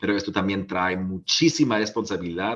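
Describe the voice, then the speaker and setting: Speaking with a German accent, a man keeps a moderate pace at a fairly low pitch with ordinary pitch variation, in a very clean recording with a silent background. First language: German (speaking Spanish). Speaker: politician. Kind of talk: panel talk. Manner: halting, many fillers.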